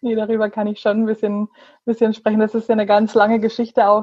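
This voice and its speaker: A woman speaks in a fairly high pitch. Her intonation stays monotone and flat. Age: 30s. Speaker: photographer, small shop owner. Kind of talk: casual interview. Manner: hesitant, many fillers.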